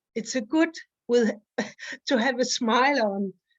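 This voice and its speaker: A woman with a non-native accent, very slow pace and ordinary pitch variation. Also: quiet background. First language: not English. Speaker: study group participant. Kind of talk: casual discussion. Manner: halting.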